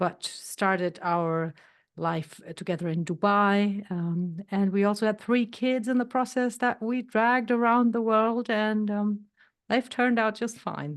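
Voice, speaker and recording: With a plain, everyday voice, a woman speaks at a fairly slow pace and fairly high pitch, with ordinary pitch variation over a quiet background. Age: 60s. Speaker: health coach. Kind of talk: podcast interview.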